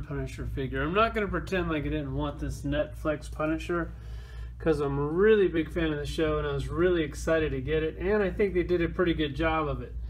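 A man at a fairly quick pace over light background noise. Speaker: toy collector reviewer. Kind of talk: casual toy review chat.

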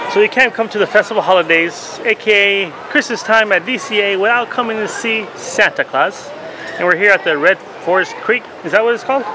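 Amid noticeable background noise, a man raises and projects his voice, talking at a fairly quick pace with ordinary pitch variation. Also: dry sound with no echo. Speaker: theme park vlogger. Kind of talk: casual vlog chat. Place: street. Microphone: phone near.

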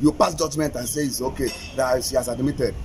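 A man is talking. Faint music plays in the background. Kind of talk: interview answer. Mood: indignant criticism. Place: street. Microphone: handheld.

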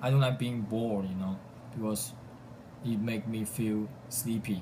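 Over noticeable background noise, a man with a Chinese accent speaks at a fairly slow pace and fairly low pitch, with fairly even intonation. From southern China. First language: Mandarin Chinese. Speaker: college student; vlogger. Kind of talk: self-introduction video. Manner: halting. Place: home room. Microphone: phone near.

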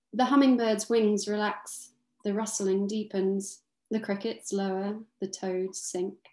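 In a quiet background with audible room echo, a woman speaks at a very slow pace in a fairly high pitch, with a dark, mellow tone and fairly even intonation. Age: 30s. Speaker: author. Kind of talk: book launch conversation with reading aloud. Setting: video call from her kitchen. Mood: calm, dreamy, evocative. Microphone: webcam.

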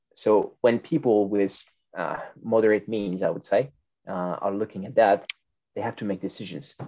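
The voice has a dark, mellow tone and a French accent, with long, frequent pauses over a quiet background. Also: man, fairly low pitch for a man, ordinary pitch variation, moderate pace. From France. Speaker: food retail consultant; webinar speaker. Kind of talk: panel discussion. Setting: video call. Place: home room. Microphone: video call.

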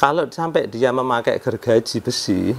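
A man's delivery at a moderate pace, with ordinary pitch variation. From Indonesia. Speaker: home repair YouTuber; home repair youtuber. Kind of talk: casual tutorial vlog. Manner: conversational, frequent filler 'ya'. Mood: calm, explaining a complaint. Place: home room. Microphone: lapel.

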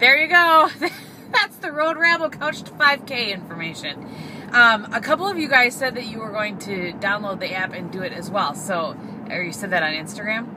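A woman at a moderate pace, with very wide pitch swings, big swings in loudness and noticeable background noise. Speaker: vlogger. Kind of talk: casual vlog chat. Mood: chatty, cheerful. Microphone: phone near.

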